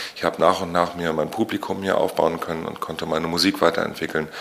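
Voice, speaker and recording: Amid noticeable background noise, a man with a very deep, low pitch talks at a fairly quick pace in a monotone, flat intonation. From Usedom, northeastern Germany (Mecklenburg-Vorpommern). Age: 40s. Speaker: musician, singer-songwriter. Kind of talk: interview. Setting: studio, face to face.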